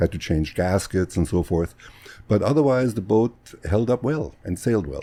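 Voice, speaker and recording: A man with a German accent and a dark, mellow tone, fairly low in pitch, at a moderate pace with lively intonation. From Germany, Bavaria near Munich. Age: 60s. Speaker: physician. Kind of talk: casual interview.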